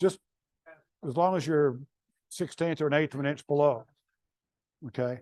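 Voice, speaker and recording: Using a Southern US accent, a man speaks at a fairly high pitch. His pace is moderate, broken by long, frequent pauses. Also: ordinary pitch variation. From North Carolina. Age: 70s. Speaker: woodturning demonstrator. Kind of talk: live demonstration. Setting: club meeting with audience. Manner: halting.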